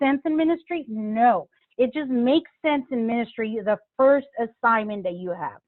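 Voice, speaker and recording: In a Spanish accent, a woman speaks at a fairly high pitch and a moderate pace with lively intonation. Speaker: pastor. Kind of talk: interview.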